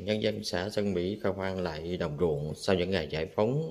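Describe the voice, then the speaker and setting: This man's voice is very deep and low, with a dark, mellow tone. He talks at a moderate pace with ordinary pitch variation. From Vietnam. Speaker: travel vlogger. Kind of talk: vlog walking tour narration. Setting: outdoors at a memorial site and museum. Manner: halting, many fillers. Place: hall. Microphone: phone near.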